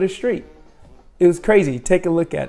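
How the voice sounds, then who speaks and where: Music plays behind a man whose high-pitched voice shows ordinary pitch variation. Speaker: travel vlogger. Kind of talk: travel vlog narration. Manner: animated.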